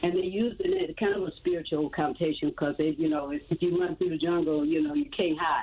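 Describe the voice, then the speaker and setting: Noticeable background noise runs under this clip. A woman speaks with an American accent. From Chicago. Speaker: singer in a long-running rock band. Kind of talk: casual interview.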